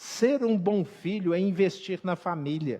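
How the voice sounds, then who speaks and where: A man's high-pitched voice with a Minas Gerais accent, lively intonation and a fairly slow pace, against a quiet background. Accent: Minas Gerais (mineiro). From Brazil, Minas Gerais (Belo Horizonte). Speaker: pastor. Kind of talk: sermon.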